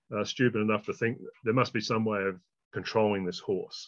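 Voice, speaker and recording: With an Australian accent, a man speaks in a fairly low pitch and fairly even intonation. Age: 60s. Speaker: horsemanship trainer. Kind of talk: interview.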